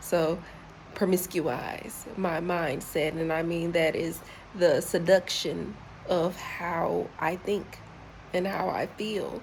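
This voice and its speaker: With an American accent, a woman speaks in an ordinary speaking voice at a fairly low pitch. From US South, Charlotte, North Carolina. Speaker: travel vlogger. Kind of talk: casual vlog monologue. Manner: repetitive, searching for words.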